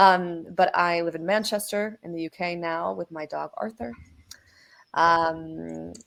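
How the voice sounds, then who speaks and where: At a fairly slow pace, a woman with a fairly low pitch speaks with ordinary pitch variation and big swings in loudness. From US Midwest, Minnesota. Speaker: product lead at a software company. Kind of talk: webinar panel discussion.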